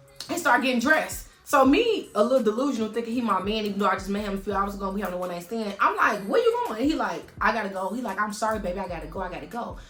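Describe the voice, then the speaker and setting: Against background music, a woman rushes along at a very fast pace with hardly any pauses, her fairly high pitch showing ordinary variation. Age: 30s. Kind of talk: casual storytime talk to camera. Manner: animated, expressive.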